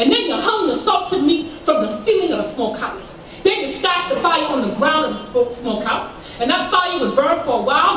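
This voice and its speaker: Over noticeable background noise, a woman talks at a fairly quick pace with very wide pitch swings and hardly any pauses. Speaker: Gullah culture presenter. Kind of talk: live historical talk to an audience.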